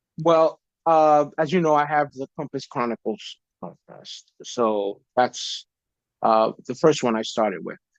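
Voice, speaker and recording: With a New York accent, a man talks at a fairly slow pace, his pitch fairly high and ordinarily varied. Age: 50s. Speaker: podcaster sharing faith testimony. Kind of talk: casual interview chat. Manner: hesitant, many fillers.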